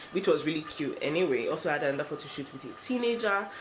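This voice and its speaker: A woman talks at a fairly quick pace. Both background noise and room echo are noticeable. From Nigeria. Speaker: lifestyle vlogger. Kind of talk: vlog. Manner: fast.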